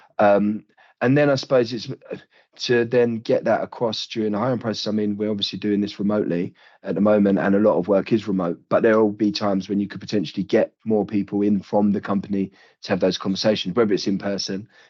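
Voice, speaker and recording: A man's fairly low voice with a British accent at a very fast pace. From United Kingdom. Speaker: recruitment company leader. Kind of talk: podcast interview. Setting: remote video call. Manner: halting, many fillers.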